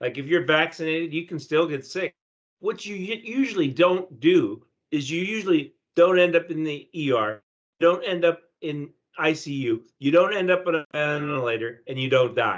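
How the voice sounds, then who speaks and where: Speaking at a moderate pace, a man uses an ordinary speaking voice, fairly high in pitch with ordinary pitch variation. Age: 60s. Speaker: newspaper reporter. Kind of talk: news discussion.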